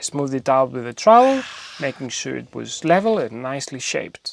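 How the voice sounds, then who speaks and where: A man with a Greek accent, very wide pitch swings and a fairly quick pace, in a dry, close sound with no echo. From Greece. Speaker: DIY home renovation youtuber. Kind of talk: scripted narration. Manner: humorous, conversational.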